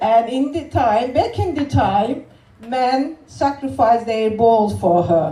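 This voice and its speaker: A woman with a Turkish accent, fairly high-pitched, speaking very slowly over noticeable background noise. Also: lively intonation. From Turkey. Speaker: comedian and spoken word performer. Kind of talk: spoken word poetry performance with stand-up.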